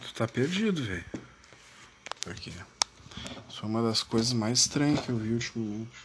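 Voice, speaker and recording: A man with a southern Brazilian accent talks with long, frequent pauses, big swings in loudness and ordinary pitch variation, over noticeable background noise. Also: medium pitch for a man, moderate pace. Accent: gaúcho Brazilian Portuguese. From Brazil, Rio Grande do Sul. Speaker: political podcaster. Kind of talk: casual political monologue. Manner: animated, informal.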